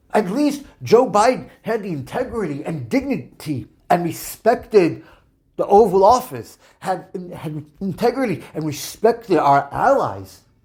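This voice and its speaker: A man speaks at a fairly slow pace with an American accent, his pitch high and swinging very widely. Music plays in the background. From New York. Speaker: political commentator podcaster. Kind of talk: opinion podcast monologue.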